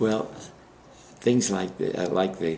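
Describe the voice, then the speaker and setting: This is a man with an American accent. His pitch is very deep and low. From Brooklyn, New York. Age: 90s. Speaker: war veteran. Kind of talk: oral history interview. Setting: library interview. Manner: halting.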